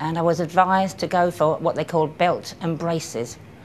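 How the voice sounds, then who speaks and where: Against light background noise, a woman with a southern English accent talks at a moderate pace in a fairly low pitch with ordinary pitch variation. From Kent, England. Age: 60s. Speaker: cancer patient. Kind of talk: patient testimonial. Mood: calm, reflective. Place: hall. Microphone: camera far.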